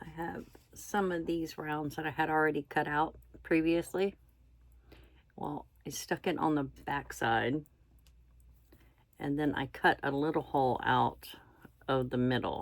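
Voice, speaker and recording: A woman's very deep, low voice in a relaxed tone, with ordinary pitch variation and long, frequent pauses, on a very clean recording with a silent background. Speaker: stitching vlogger. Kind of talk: casual chat while crafting. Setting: indoors, camera in front. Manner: quiet, hard to hear; relaxed, halting with fillers.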